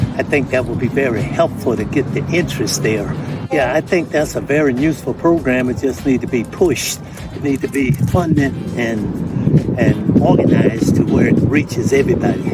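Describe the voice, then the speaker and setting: A man talks at a moderate pace. His voice sounds dry with no echo, over loud background noise. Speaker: amateur tennis player. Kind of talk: interview answer. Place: stadium.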